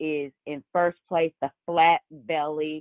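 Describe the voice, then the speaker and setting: A woman speaks with a very deep, low pitch. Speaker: company operations executive. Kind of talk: business update on video call.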